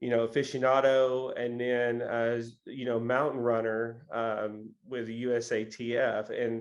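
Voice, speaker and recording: The speaker has an American accent and a fairly slow pace. The intonation is monotone and flat, with hardly any pauses. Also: man, medium pitch for a man. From Tennessee, US South. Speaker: podcast host. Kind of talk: interview. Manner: halting, many fillers.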